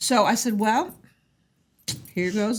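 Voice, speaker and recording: A woman speaks with an American accent at a fairly high pitch. Her voice is somewhat breathy. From US Midwest, Indiana. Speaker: restaurant owner. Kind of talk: casual chat.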